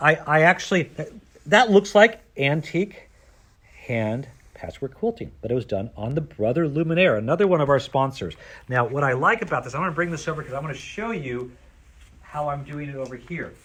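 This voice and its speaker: A man with a fairly high voice speaks at a fairly quick pace, his tone animated and his intonation lively. His loudness swings widely. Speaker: sewing store owner demonstrating products. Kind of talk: product demonstration.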